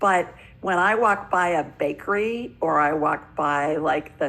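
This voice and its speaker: A woman with a fairly low pitch speaks at a fairly slow pace in a plain, everyday voice. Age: 60s. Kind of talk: interview.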